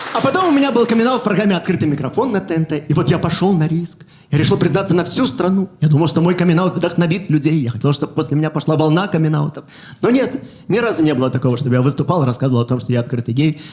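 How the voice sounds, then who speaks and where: Over noticeable background noise, a man talks very fast at a fairly high pitch, with lively intonation and very even loudness. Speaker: stand-up comedian. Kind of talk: stand-up.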